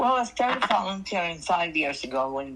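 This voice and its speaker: In a Newfoundland accent, a woman speaks with very wide pitch swings. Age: 80s+. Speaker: retired mayor and volunteer. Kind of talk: interview. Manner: halting.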